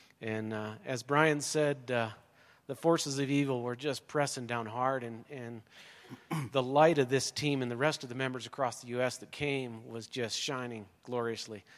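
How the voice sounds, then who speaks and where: Using an unremarkable speaking voice, the speaker goes at a fairly slow pace with fairly even intonation but big swings in loudness. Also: man, medium pitch for a man. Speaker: mission trip volunteer. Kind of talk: testimony. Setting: church.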